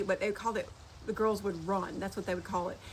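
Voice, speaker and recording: A woman with a Southern US accent speaks with fairly even intonation. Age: 60s. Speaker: social media creator. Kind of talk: casual chat. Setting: outdoors on porch. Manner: fast.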